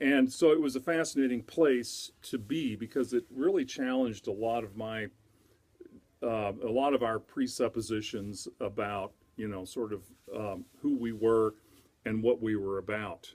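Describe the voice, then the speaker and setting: Delivered at a moderate pace in an American accent, the voice shows ordinary pitch variation. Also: man, medium pitch for a man. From US Southwest, Albuquerque, New Mexico. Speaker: music instructor. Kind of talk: course introduction video. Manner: halting, many fillers.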